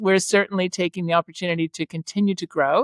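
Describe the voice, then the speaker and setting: A woman with an unremarkable speaking voice and a Canadian accent talks at a fairly quick pace with medium pitch and fairly even intonation, in a very clean recording with a silent background and a dry, close sound with no echo. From Canada. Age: 50s. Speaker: property management entrepreneur. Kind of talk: podcast interview.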